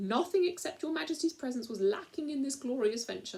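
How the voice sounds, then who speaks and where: A put-on character voice, female-sounding, high-pitched and shrill, at a fairly quick pace. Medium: read story. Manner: formal, courtly.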